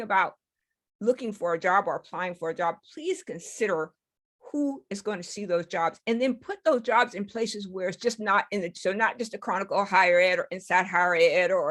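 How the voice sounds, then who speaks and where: Here is a woman with a normal speaking voice at a medium pitch. She goes at a fairly quick pace with lively intonation. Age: 60s. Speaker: conference presenter, retired technology executive. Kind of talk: conference presentation with Q&A.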